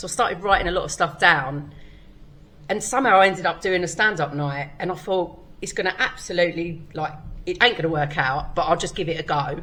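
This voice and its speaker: Over audible room echo, a woman with a fairly low voice speaks at a fairly quick pace with ordinary pitch variation. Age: 40s. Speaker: stand-up comedian. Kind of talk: casual chat. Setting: comedy club stage.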